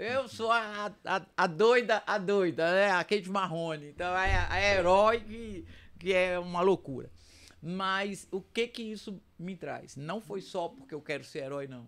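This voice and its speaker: On a very clean recording with a silent background, a woman with a normal speaking voice and medium pitch speaks fairly slowly, with ordinary pitch variation and big swings in loudness. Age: 60s. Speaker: retired police officer. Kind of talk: podcast discussion.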